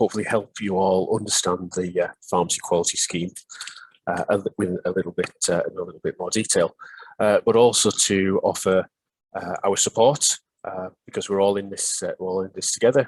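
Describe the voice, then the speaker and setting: With a northeast English accent, a man talks at a fairly quick pace in a dry, close sound with no echo. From northeast England. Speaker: pharmacy superintendent. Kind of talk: webinar presentation. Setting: online webinar. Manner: hesitant, many fillers.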